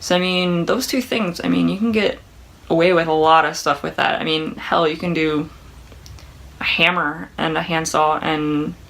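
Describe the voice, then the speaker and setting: Mumbled speech at a moderate pace. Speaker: woodworking YouTuber. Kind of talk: casual Q&A monologue. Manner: mumbling.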